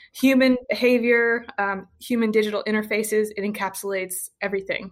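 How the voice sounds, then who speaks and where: A woman with an American accent and a normal speaking voice talks at a fairly quick pace with fairly even intonation, recorded very cleanly against a silent background. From US South, rural Western Kentucky. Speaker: healthcare data innovator, former molecular biologist. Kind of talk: interview.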